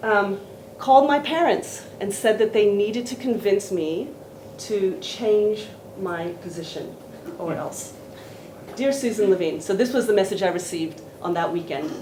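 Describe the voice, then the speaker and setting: With lively intonation and a medium pitch, a woman speaks at a moderate pace and leaves long, frequent pauses. Audible room echo and noticeable background noise are present. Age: 60s. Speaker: professor and seminar speaker. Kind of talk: academic seminar talk.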